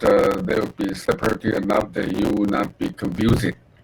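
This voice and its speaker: Over noticeable background noise, a man talks at a fairly slow pace in a fairly low pitch with ordinary pitch variation. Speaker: university lecturer. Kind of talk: lecture. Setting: online class via video call. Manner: halting, many fillers.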